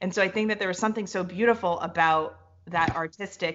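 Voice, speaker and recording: A woman speaks at a fairly quick pace. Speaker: podcast host. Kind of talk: casual interview chat. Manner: fast; animated.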